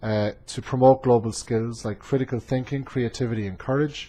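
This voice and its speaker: A man is speaking. He has an Irish accent. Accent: Irish accent, noticeable to students. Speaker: community college instructor. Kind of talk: class presentation. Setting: webcam recording. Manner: frequent filler hesitations.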